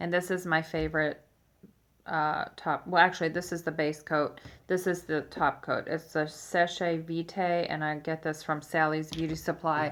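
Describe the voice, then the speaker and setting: In a very clean recording with a silent background, a woman speaks in a very deep, low pitch with monotone, flat intonation. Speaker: beauty and fashion vlogger. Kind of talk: casual vlog tutorial. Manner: slow; hesitant, many fillers.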